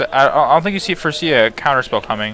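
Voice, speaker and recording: Over noticeable background noise, a man mumbles while his pitch swings very widely. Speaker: game commentator. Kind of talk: live commentary. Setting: livestream. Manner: mumbling; halting.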